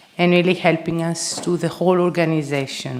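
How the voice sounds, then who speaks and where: Noticeable background noise beneath a monotone, flat intonation. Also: woman. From Greece. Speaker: conference organizer and speaker. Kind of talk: conference opening speech. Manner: halting, many filler words.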